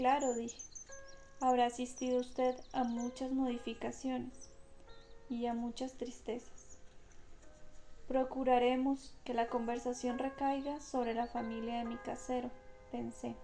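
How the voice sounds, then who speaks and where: A woman with a high pitch talks in a calm tone at a fairly slow pace, her intonation monotone and flat. She leaves long, frequent pauses, with music playing in the background. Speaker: audiobook narrator. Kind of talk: audiobook reading of a classic novel. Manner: slow, calm.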